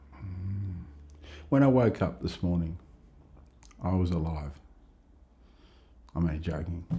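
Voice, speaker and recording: With a dark, mellow tone and a very deep, low pitch, a man talks somewhat breathily at a fairly slow pace, with ordinary pitch variation and long, frequent pauses. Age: 60s. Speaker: life story interviewee. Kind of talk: interview. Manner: reflective, with hesitations and repetitions.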